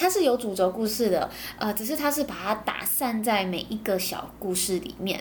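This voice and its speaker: At a moderate pace, a woman with a fairly high, somewhat breathy voice speaks with lively intonation. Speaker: podcast host. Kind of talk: casual monologue, anime review. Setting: home recording.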